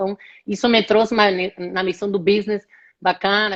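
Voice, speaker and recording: A woman speaks with an Argentine accent at a medium pitch. Her pace is fairly quick. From Argentina, Rosário. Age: 30s. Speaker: HR executive. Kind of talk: live interview. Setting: online live stream.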